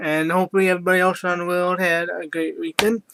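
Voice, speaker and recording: In a put-on character voice, a man mumbles at a very fast pace with a high pitch and a monotone, flat intonation. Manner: mumbling.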